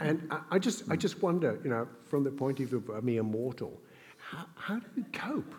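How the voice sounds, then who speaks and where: A somewhat breathy man at a moderate pace, his fairly high pitch making very wide swings. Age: 60s. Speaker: event host and interviewer. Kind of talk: onstage interview. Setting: stage with audience.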